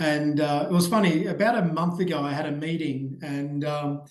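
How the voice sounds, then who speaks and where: A man with an Australian accent speaks at a fairly high pitch with fairly even intonation. There is audible echo in the room. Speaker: ed-tech growth strategist. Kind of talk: podcast interview. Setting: remote call.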